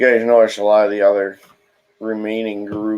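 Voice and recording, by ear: Over a quiet background, the speaker reads aloud in a natural voice.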